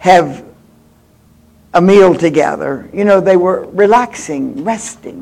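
Speech moves at a fairly slow pace with ordinary pitch variation. Noticeable background noise runs underneath. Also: man. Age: 80s+. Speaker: guest preacher. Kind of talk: sermon. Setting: church with audience. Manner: animated.

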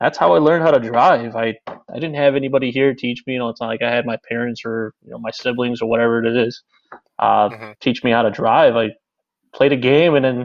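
A man with a Chicago accent talks at a fairly quick pace, his medium-pitched voice keeping a fairly even intonation. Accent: Chicago American. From Chicago, Illinois. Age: 30s. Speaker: car enthusiast and streamer. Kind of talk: casual interview.

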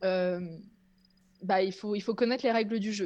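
A woman talks at a very fast pace. Her voice sits at a medium pitch with ordinary pitch variation. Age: 30s. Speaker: content creator, former make-up artist. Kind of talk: casual chat.

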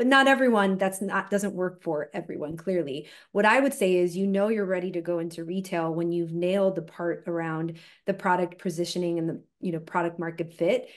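A woman with a plain, everyday voice talks at a fairly quick pace in a fairly low pitch, with ordinary pitch variation and a quiet background. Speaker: venture capital investor. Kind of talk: panel discussion.

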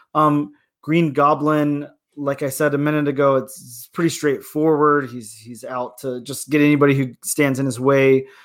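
A man speaks at a moderate pace and a fairly high pitch, his intonation monotone and flat. The recording is very clean, with a silent background. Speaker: podcast co-host. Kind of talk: casual chat. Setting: studio.

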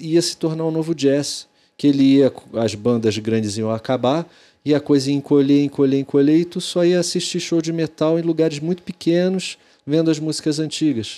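A dark, mellow tone at a moderate pace, with ordinary pitch variation. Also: man. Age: 40s. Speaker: podcast host. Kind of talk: casual interview chat.

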